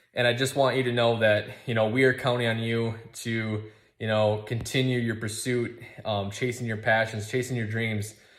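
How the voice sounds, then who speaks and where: A man with an American accent speaks at medium pitch and a moderate pace, his intonation monotone and flat. Audible room echo surrounds his voice. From Minnesota. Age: 30s. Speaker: outdoors company founder. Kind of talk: recorded video message. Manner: halting, with many fillers.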